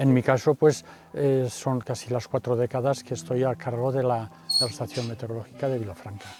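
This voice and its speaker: This man talks at a fairly quick pace and a medium pitch. His pitch varies an ordinary amount. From Spain, Castellón province (Valencian region). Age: 60s. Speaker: volunteer weather observer. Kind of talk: recorded testimony interview. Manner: halting, with many fillers.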